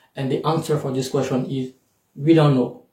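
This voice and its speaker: A man with a French accent talks at a medium pitch in a dark, mellow tone. His voice is somewhat breathy, with fairly even intonation. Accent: French accent in English, self-noted. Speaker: YouTuber and scholarship coach. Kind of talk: tutorial. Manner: hesitant, many fillers.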